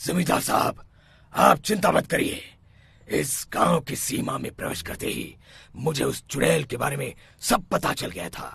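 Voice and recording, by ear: A man performs a cartoonish character voice that is raspy and fairly high. He keeps a moderate pace.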